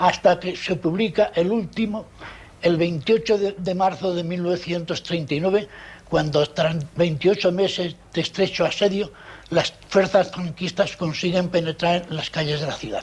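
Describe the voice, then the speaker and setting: A man's high-pitched voice, fairly slow pace and fairly even intonation. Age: 70s. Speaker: documentary presenter, journalist. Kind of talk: testimony. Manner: formal.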